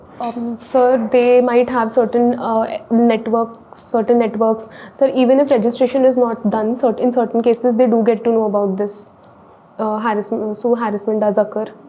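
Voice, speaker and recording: A woman's fairly high, flat, monotone voice at a moderate pace, with music in the background. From India (Delhi). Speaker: civil services exam candidate. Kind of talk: mock interview. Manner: halting.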